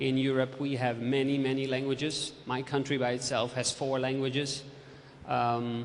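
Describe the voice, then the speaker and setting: Through noticeable background noise and audible room echo, a man with a Dutch accent speaks at a moderate pace. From Netherlands. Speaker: literacy and ICT expert. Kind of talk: presentation. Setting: lecture theatre with audience.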